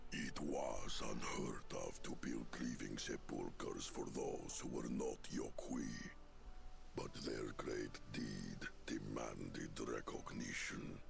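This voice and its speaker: Over loud background noise, a man puts on a character voice and talks at a very slow pace. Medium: video game. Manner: grave, formal.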